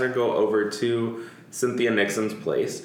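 A man speaks at a fairly slow pace, his pitch medium. Noticeable background noise sits behind him. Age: 30s. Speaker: podcast host. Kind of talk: casual chat.

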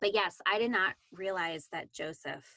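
Bright and sharp in tone, a woman's voice carries lively intonation at a medium pitch. The sound is dry and close, with no echo. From Canada. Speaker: Bible study podcast co-host. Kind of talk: casual Bible discussion.

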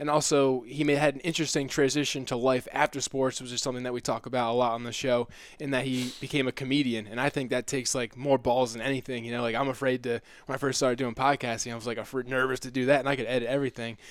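In a flat monotone, a man talks very fast at a medium pitch with hardly any pauses. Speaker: podcast host, brain injury survivor. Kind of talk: casual interview.

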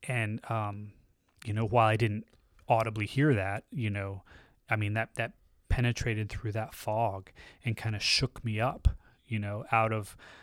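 A man with an American accent speaks at a moderate pace in a monotone, flat intonation, leaving long, frequent pauses. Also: very clean recording, silent background. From US South, Tallahassee, Florida. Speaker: church member. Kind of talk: testimony.

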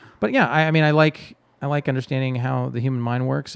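Speaking at a fairly quick pace with fairly even intonation, a man with an American accent has an unremarkable speaking voice. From Texas. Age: 40s. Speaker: improv comedian and theater director. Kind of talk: casual chat.

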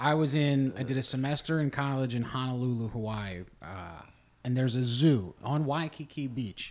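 In an American accent, a man speaks at a moderate pace with a fairly high pitch. The recording is very clean, with a silent background. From southwest Ohio, between Dayton and Cincinnati. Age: 30s. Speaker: comedian and podcast host. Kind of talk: casual chat.

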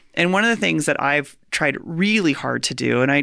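A woman with an American accent speaks at a moderate pace. The recording is very clean, with a silent background. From rural US. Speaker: podcast host. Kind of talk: interview conversation. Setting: in person.

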